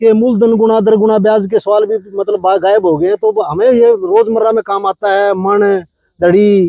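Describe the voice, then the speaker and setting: A man with a Haryana accent speaks in a high, flat monotone with hardly any pauses, his voice dry and close with no echo over noticeable background noise. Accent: Haryanvi. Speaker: storyteller. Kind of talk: interview answer, folk storytelling.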